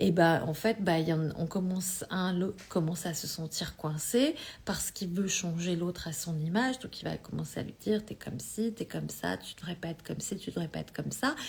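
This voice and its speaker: A woman's fairly low, somewhat breathy voice at a fairly quick pace, with hardly any pauses and ordinary pitch variation. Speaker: energy healing coach. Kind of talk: live stream talk. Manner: halting.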